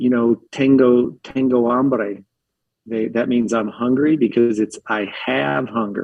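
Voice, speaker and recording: A man with an American accent speaks at a very slow pace and a medium pitch. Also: ordinary pitch variation. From Philadelphia, US. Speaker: restaurant and bar owner. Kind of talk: casual chat. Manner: animated.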